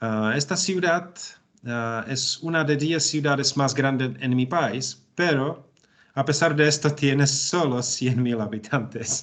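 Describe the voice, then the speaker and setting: In a Czech accent, a man with a fairly high voice speaks very slowly, his pitch varying in an ordinary way. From Czech Republic, Bohemia. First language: Czech (speaking Spanish). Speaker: language student. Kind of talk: language class conversation. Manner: halting, many fillers.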